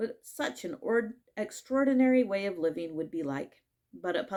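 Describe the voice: Against a quiet background, the speaker reads aloud plainly with lively intonation.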